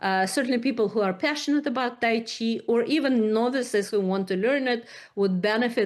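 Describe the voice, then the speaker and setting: The woman's fairly high voice shows ordinary pitch variation as she talks at a moderate pace. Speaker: psychiatry researcher. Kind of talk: presentation. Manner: halting.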